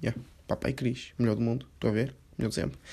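Vocal fry runs through a man's voice. He talks at a very fast pace. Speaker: podcaster. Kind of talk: casual monologue.

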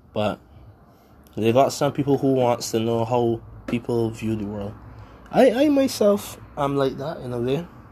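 Leaving long, frequent pauses, a man talks at a medium pitch in a dark, mellow tone. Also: ordinary pitch variation, moderate pace. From Barbados. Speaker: podcast host. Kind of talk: solo podcast monologue. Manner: rambling, halting, casual.

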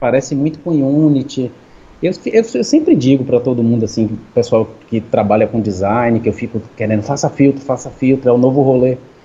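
A man speaks fairly quickly in a dark, mellow, somewhat breathy tone at medium pitch with ordinary pitch variation. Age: 40s. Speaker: filter creator and music producer. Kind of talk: casual chat.

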